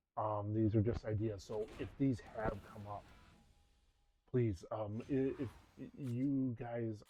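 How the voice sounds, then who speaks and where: A man speaks in a fairly low, dark, mellow voice that is somewhat breathy. His intonation stays fairly even. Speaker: gaming content creator. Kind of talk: casual gameplay commentary. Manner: halting, many false starts.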